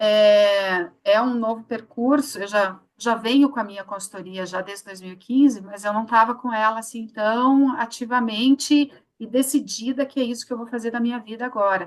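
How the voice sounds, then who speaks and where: In a plain, everyday voice, the speaker goes at a moderate pace with hardly any pauses, ordinary pitch variation, and big swings in loudness. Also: woman, fairly high pitch for a woman. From Curitiba, southern Brazil. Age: 50s. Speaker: psychologist, HR consultant. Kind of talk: live interview.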